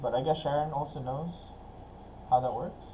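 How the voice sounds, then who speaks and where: A man with an American accent speaks at a fairly high pitch. Audible room echo and noticeable background noise fill the recording. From Philippines. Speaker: business networking ambassador and lending company owner. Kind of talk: webinar discussion.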